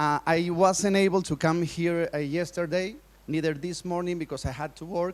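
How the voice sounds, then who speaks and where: A man with a Spanish accent speaks at a moderate pace in a high pitch and fairly even intonation. The recording is very clean, with a silent background. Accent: Spanish-speaker accent in English. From Colombia. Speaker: preacher and speaker. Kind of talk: conference talk. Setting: stage with audience. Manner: halting.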